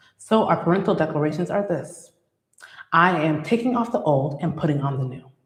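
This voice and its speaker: A woman speaks at a fairly low pitch with very wide pitch swings. Audible room echo surrounds her voice. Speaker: licensed clinical social worker hosting a faith-based parenting show. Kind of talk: motivational talk. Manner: fast; sometimes trips over words.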